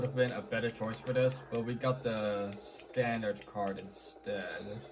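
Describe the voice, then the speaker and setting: Noticeable background noise behind a man's voice at a moderate pace. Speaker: gaming YouTuber. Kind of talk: gameplay commentary. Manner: quiet; casual.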